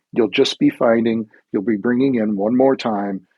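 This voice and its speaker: A man with a fairly low pitch and fairly even intonation has an ordinary speaking voice. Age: 60s. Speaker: life coach. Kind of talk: podcast interview.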